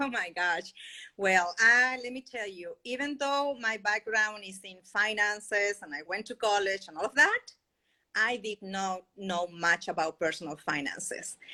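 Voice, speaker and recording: With a Spanish accent, a woman speaks at a fairly slow pace and medium pitch, showing ordinary pitch variation and big swings in loudness. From Chile. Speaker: podcast guest, financial independence advocate. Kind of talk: interview.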